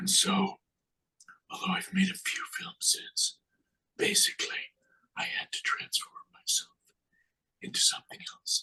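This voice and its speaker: Someone is whispering. The pace is fairly slow. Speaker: author and former film director. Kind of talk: panel discussion. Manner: halting.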